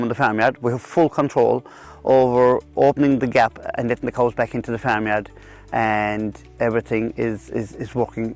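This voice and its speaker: Music in the background behind a man with a Kerry accent, medium pitch, fairly even intonation and a moderate pace. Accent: Irish, Kerry. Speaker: dairy farmer. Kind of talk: interview answer. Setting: outdoors. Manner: hesitant, repeats words.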